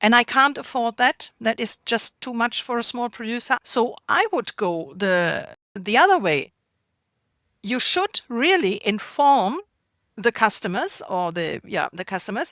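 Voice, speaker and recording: With a German accent, a woman speaks at a fairly slow pace in a fairly high pitch, her tone bright and sharp and her pitch swinging very widely, in a dry, close sound with no echo on a very clean recording with a silent background. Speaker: artisanal food producer. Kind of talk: interview.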